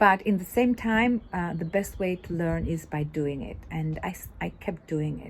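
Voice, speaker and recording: Somewhat breathy and fairly low in pitch, a woman speaks at a moderate pace with hardly any pauses. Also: ordinary pitch variation. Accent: non-native. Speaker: women's business club founder. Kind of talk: casual video monologue. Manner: halting, many fillers.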